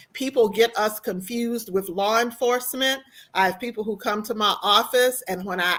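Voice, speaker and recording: With an American accent, a woman uses a normal speaking voice, fairly high in pitch, at a moderate pace with ordinary pitch variation. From US South. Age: 60s. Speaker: university compliance officer. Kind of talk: panel discussion.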